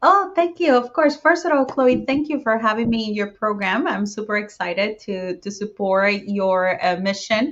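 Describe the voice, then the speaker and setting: A woman with a Spanish accent speaks at a moderate pace with hardly any pauses. Her fairly high pitch carries lively intonation. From Puerto Rico. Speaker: real estate investor. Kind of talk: podcast interview.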